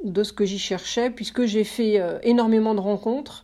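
Fairly slow and with fairly even intonation, a woman talks at a fairly high pitch in a dark, mellow tone. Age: 50s. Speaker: press relations consultant. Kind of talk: interview.

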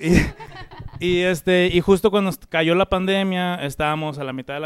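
With an unremarkable speaking voice, a man talks at a moderate pace and ordinary pitch variation. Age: 30s. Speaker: musician. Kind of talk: casual chat.

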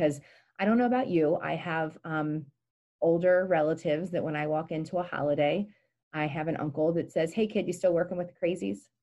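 A woman's very deep, low voice with a dark, mellow tone and an American accent, at a moderate pace with ordinary pitch variation. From Pennsylvania, Gettysburg. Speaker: mental health nonprofit director, clinical social worker. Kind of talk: interview.

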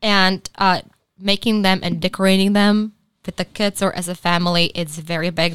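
A medium-pitched woman in a Czech accent, at a moderate pace with fairly even intonation, in a dry, close, echo-free sound on a very clean recording with a silent background. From Czech Republic. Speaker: podcast co-host. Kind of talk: casual chat. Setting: studio.

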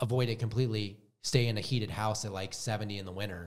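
In a plain, everyday voice, a man with an American accent talks at a fairly quick pace, his fairly low pitch showing ordinary pitch variation. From US Midwest, Wisconsin. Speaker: autoimmune health coach. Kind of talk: casual interview chat.

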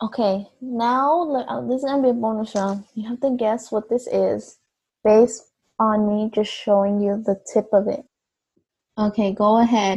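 Against music in the background, a woman talks at a moderate pace and fairly high pitch, her intonation fairly even. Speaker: student podcast co-host. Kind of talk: casual chat.

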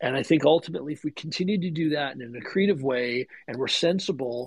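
This man has a plain, everyday voice, fairly high in pitch, at a moderate pace. The sound is dry and close with no echo. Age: 40s. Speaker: mining company CEO. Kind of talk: casual interview. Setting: online audio space.

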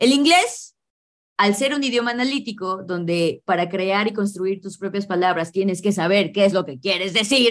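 A woman with an animated tone and lively intonation speaks at a moderate pace and medium pitch. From Mexico City, Mexico. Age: 30s. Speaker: English teacher. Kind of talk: interview.

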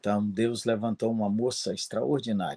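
A fairly low-pitched man at a fairly slow pace, dry and close with no echo, over a quiet background. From Minas Gerais, Brazil. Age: 60s. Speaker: pastor. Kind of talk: interview.

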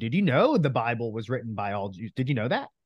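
A man with an American accent has a plain, everyday voice. He talks at a fairly quick pace with lively intonation against a quiet background. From New Jersey. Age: 30s. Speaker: real estate coach. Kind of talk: interview.

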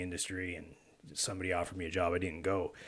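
In a Canadian Maritime accent, a man speaks with a very deep, low pitch and a bright, sharp tone. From rural Nova Scotia, Canada (Argyle). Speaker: podcast host. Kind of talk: casual interview chat. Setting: studio with microphones.

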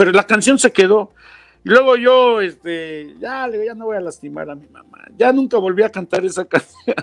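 Speaking in a Mexican accent, a man with a high pitch keeps a moderate pace and ordinary pitch variation, his loudness swinging widely in a dry, close sound with no echo. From Mexico, Mexico City and Huasteca of Hidalgo. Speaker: voice actor and guest. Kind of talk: casual chat.

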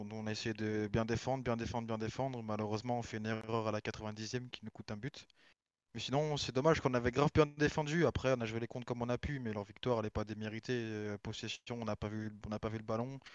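In a dry, close sound with no echo, a man talks at a fairly quick pace in a medium pitch with fairly even intonation. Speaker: esports football player. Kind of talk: casual chat. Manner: flat, low energy.

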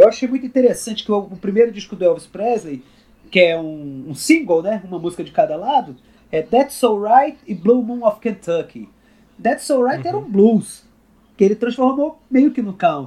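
A man talks with a Rio de Janeiro accent at a high pitch in a dark, mellow tone. His pitch swings very widely at a moderate pace. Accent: Rio de Janeiro (carioca). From Brasília, Brazil. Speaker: country guitarist. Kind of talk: casual interview.

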